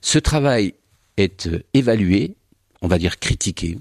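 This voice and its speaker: In a very clean recording with a silent background, a man with a Languedoc accent sounds dry and close with no echo. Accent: southern French (Languedoc). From southern France, Languedoc. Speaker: historian. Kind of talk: radio interview.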